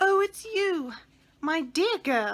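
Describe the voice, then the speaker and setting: A woman's squeaky, put-on character voice rises to an extremely high pitch. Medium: read story. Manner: sleepy, yawning.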